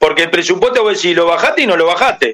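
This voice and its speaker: A man speaks in a raised, projected voice. The tone is bright and sharp. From Uruguay. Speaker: former football player. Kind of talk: phone interview.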